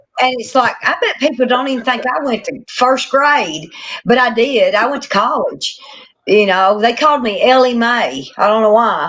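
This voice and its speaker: Her voice is high-pitched, and this woman speaks with a strong Southern US accent. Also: ordinary pitch variation, moderate pace. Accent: strong country Southern. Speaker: catfishing angler. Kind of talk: casual chat.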